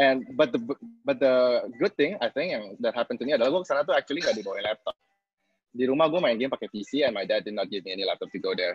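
A man talking at a very fast pace over music in the background. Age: 20s. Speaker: business consultant. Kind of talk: webinar talk. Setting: video call.

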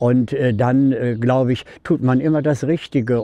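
A man speaks very slowly in a dark, mellow tone with ordinary pitch variation and a dry sound with no echo. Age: 70s. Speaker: interviewee. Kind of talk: interview answer. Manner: casual, hesitant with fillers. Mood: cheerful, warm, reflective. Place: street.

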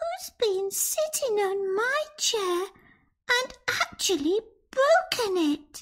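A squeaky put-on character voice at an extremely high pitch and a very slow pace.

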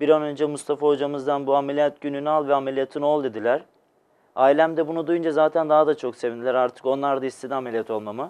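The man talks at a very fast pace. His pitch is fairly high and his intonation fairly even. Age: 20s. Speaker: patient, electrical technician. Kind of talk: TV interview, personal testimony. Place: studio.

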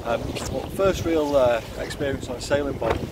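Loud background noise behind a man's voice, the sound dry with no echo. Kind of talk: casual vlog chat. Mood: reflective, happy. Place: boat. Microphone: phone near.

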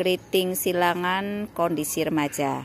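Recorded dry with no echo under light background noise, a woman with a fairly low voice talks very slowly with fairly even intonation. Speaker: orchid seller. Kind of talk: sales pitch. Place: garden. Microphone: phone near.

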